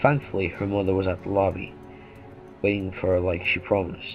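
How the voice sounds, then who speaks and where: A man with a very deep, low pitch, music in the background. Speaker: creepypasta narrator. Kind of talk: horror story reading.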